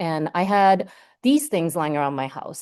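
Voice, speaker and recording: At a moderate pace, a woman talks in a dark, mellow tone against a quiet background. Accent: Hawaiian. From Hawaii, Oahu (Ewa, Waipio and Waikele). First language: Japanese. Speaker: marine scientist. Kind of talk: lecture. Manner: casual, many filler words.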